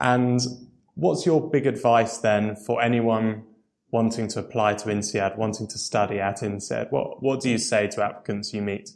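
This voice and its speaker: A man with a normal speaking voice talks at medium pitch and a moderate pace with fairly even intonation. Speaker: podcast host. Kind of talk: interview.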